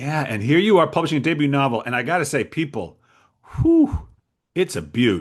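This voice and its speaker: A man's fairly high voice with vocal fry and lively intonation, at a moderate pace over a quiet background. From Rhode Island. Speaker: author interviewer. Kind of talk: interview.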